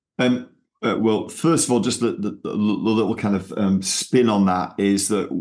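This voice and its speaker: Speaking at a moderate pace, a man with a strong Manchester accent keeps his intonation fairly even. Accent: Manchester accent, still strong. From Manchester, England. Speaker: missionary movement leader. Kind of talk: casual interview.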